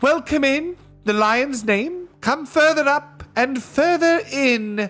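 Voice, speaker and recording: A put-on character voice, high and shrill, speaks at a very slow pace with faint music in the background. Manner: courteous, welcoming.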